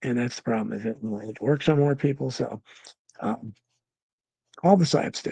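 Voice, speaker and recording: A man with a dark, mellow, somewhat breathy voice speaks at a moderate pace, using ordinary pitch variation and long, frequent pauses. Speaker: talk show host. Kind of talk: live stream chat reading viewer comments. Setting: live stream. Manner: halting, many fillers.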